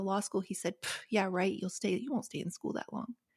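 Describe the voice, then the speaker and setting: In an American accent, the voice sounds somewhat breathy, with fairly even intonation. The sound is dry and close, with no echo. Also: woman. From US South, rural West Virginia. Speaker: author and podcast host. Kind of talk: interview conversation. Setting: remote recording.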